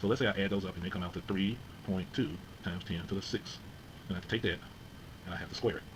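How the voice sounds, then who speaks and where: A man speaks very fast at a fairly low pitch, somewhat breathy. The room echo is audible. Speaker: physics teacher. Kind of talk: lecture.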